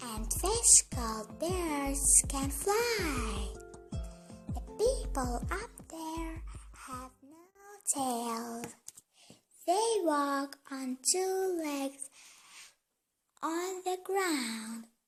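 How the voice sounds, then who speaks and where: A woman's put-on character voice, high-pitched and very slow, with long, frequent pauses over faint music in the background. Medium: read story. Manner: patient, gentle.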